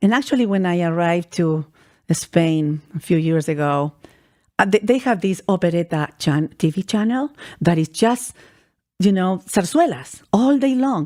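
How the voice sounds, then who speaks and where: In a Spanish accent, a woman with a medium pitch and a dark, mellow tone speaks at a moderate pace with lively intonation, on a very clean recording with a silent background. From Chile. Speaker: vocalist and musician. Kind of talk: radio interview. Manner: halting, frequent repetitions.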